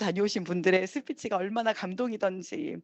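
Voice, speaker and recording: A woman speaks in an animated tone. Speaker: network marketing business leader. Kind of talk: motivational speech.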